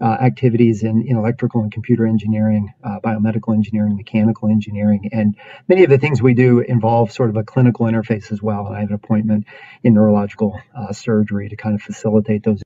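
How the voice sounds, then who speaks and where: A man talking very fast in a monotone, flat voice of fairly low pitch, with a quiet background. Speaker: university professor presenting research. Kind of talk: lecture. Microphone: webcam.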